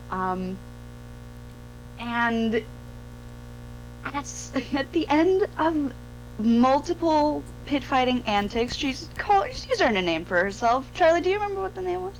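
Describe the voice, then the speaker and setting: Music plays in the background as a woman speaks at a fairly slow pace. She leaves long, frequent pauses. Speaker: dungeon master. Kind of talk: casual chat.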